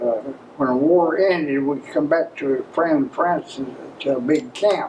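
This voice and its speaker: A man with an Appalachian accent speaks at a fairly slow pace, fairly high pitch and ordinary pitch variation. His loudness stays very even against noticeable background noise. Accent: Southern Appalachian American English. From Maryville, Tennessee, USA. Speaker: World War II veteran. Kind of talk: interview answer.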